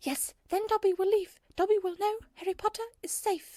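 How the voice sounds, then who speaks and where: An extremely high, squeaky put-on character voice. It moves along at a moderate pace. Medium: read story. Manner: speaks of himself in third person; squealing, stammering.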